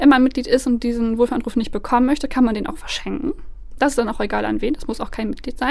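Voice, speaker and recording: A woman speaks with a high pitch. Her pitch varies in an ordinary way. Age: 20s. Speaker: head of a nonprofit association. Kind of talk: interview.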